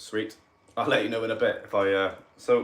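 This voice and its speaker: This is a man. He speaks with a Cardiff accent. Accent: Welsh, Cardiff. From Wales, Cardiff. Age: 30s. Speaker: paranormal investigator. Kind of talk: livestream chat. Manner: animated.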